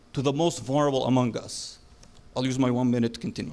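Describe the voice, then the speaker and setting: Speaking with a non-native accent, a man talks at a very fast pace. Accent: noticeable foreign. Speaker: city council candidate. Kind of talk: debate closing statement. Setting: stage with audience.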